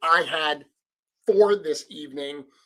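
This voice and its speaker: With a Rhode Island accent, this man has a fairly high pitch and a bright, sharp tone. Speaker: live stream host and toy customizer. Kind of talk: live stream chat. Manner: casual, with filler words.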